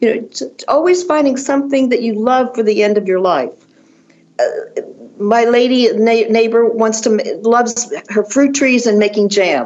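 A woman with an American accent and a fairly high voice speaks at a moderate pace with ordinary pitch variation and very even loudness, over noticeable background noise. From Washington, D.C. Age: 70s. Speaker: fashion designer and author. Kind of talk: interview. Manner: animated.

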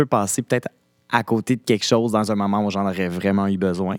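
Talking very fast in a Quebec accent, a man comes through on a very clean recording with a silent background and a dry, close sound with no echo. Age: 30s. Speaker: actor. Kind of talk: casual chat.

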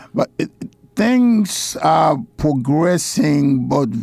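A man's dark, mellow tone at a very slow pace. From Haiti. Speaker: deacon and church missions director. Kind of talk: interview. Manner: halting.

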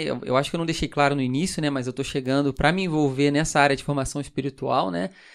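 A man with a fairly high pitch and ordinary pitch variation is heard in a very clean recording with a silent background. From Brazil, Rio de Janeiro. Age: 20s. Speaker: pastor. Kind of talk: casual chat.

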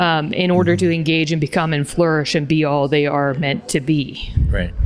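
Using a normal speaking voice, a woman talks with a Canadian accent at a fairly low pitch. Her pace is moderate and her intonation fairly even. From Canada. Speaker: university president. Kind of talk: interview.

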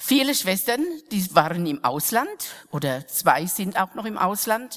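Very slowly, a woman speaks at a medium pitch with very wide pitch swings. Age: old. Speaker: mission sister. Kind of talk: sermon.

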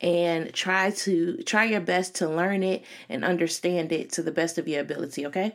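With an American accent, a woman has an unremarkable speaking voice, a fairly low pitch and ordinary pitch variation, talking at a moderate pace on a very clean recording with a silent background. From Chicago. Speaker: podcast host and career coach. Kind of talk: solo podcast monologue. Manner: casual, filler-heavy.

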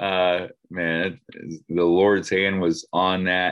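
A man with an American accent. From Oklahoma. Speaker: next gen pastor. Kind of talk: casual talk on group call. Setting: group call.

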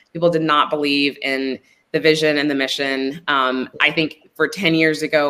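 The speaker has a Texan accent. The pace is moderate. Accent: Texan American. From Texas, Midland. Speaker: gun violence prevention organizer. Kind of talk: interview. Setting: recorded video call.

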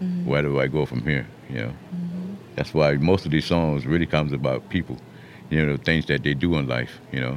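Over noticeable background noise, a man with a South Carolina Lowcountry accent speaks in a very deep, low pitch. His pace is fairly quick and his intonation fairly even. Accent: Southern US, Lowcountry South Carolina. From US South, Mount Pleasant, South Carolina. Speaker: public housing resident, former restaurant and drywall worker. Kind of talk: casual interview. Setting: radio studio.

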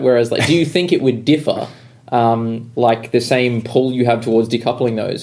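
An Australian man talks at a very fast pace with a medium pitch and fairly even intonation. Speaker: podcast host. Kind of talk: casual chat.

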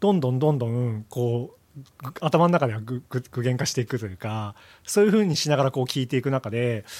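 With an unremarkable speaking voice, a man talks at a fairly quick pace in a medium pitch with lively intonation, on a very clean recording with a silent background. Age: 40s. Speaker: audio product engineer. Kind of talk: casual chat.

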